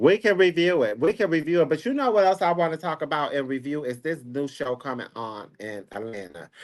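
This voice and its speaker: Against a quiet background, a man talks at a fairly quick pace with hardly any pauses, his fairly high pitch making very wide swings. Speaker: celebrity gossip commentator. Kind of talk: casual chat. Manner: soft-spoken.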